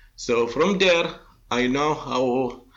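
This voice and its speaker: Speaking at a very slow pace, the man has a medium pitch. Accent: Arabic. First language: Arabic. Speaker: industrial inspection expert. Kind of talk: interview. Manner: halting, many fillers.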